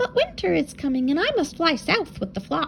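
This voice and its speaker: Using a put-on character voice, a woman speaks high for a woman at a moderate pace, her pitch swinging very widely over clear background noise. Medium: read story.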